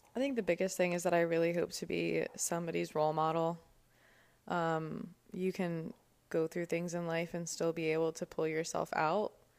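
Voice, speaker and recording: A woman's a plain, everyday voice with an American accent, fairly low pitch, fairly even intonation and a moderate pace. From New Jersey (Cherry Hill). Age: 20s. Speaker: podcast co-host. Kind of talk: casual interview about her life.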